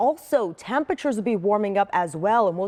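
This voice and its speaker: Over a quiet background, a woman speaks at a very fast pace with a dry, close sound with no echo. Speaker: TV weather forecaster. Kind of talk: TV weather forecast segment.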